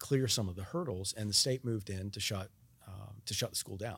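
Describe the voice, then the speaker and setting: A somewhat breathy man with an American accent talks in a fairly low pitch. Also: very clean recording, silent background. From North Carolina, mill town. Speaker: state supreme court justice. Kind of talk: interview. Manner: halting, many fillers.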